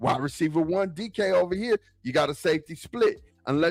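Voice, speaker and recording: A man talks at a fairly quick pace with an American accent. The sound is dry and close with no echo, and his pitch varies in an ordinary way. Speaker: sports podcast host. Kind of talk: live stream football talk. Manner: casual, filler-heavy.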